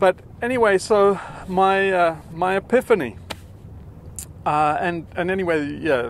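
The intonation is lively. The sound is dry with no echo, and there is light background noise. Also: man. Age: 50s. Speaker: YouTuber on collapse and climate; video series host. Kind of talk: casual monologue to camera. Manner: halting, many fillers. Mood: earnest, reflective. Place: waterside. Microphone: phone near.

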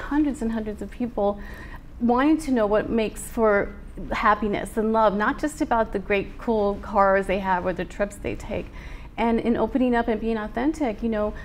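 Light background noise behind a woman, her pace moderate and her pitch variation ordinary. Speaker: guest. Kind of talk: interview answer. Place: studio.

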